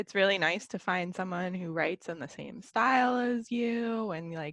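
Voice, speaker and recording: Against a quiet background, a woman with a normal speaking voice talks at a medium pitch and a moderate pace with ordinary pitch variation. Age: 20s. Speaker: podcast co-host. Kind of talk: casual chat.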